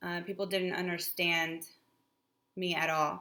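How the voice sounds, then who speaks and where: A woman with a Spanish accent speaks at a medium pitch and a fairly slow pace. Her intonation stays fairly even. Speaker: spiritual channel co-host. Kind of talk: casual explanatory talk.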